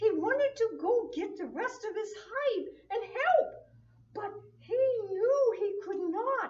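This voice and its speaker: An extremely high-pitched cartoonish character voice at a fairly slow pace. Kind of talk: children's church puppet show. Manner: buzzing, playful.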